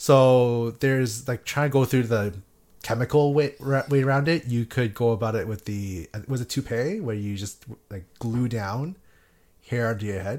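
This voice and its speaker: A man with an unremarkable speaking voice talks at a moderate pace. The recording is very clean, with a silent background. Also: medium pitch for a man, ordinary pitch variation. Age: 20s. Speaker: podcast co-host. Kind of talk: casual chat.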